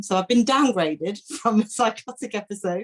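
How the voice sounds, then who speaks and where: With an East Midlands accent, a woman talks at a moderate pace with lively intonation. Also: dry, close sound with no echo. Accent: English Midlands (Leicester). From England, Leicester. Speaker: workshop participant. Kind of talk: Q&A question. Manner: halting.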